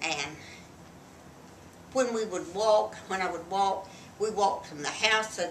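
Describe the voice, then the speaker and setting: In a room with audible echo and noticeable background noise, a woman talks fairly slowly at a medium pitch, with ordinary pitch variation and long, frequent pauses. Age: 80s+. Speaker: grandmother, wartime factory worker. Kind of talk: casual chat.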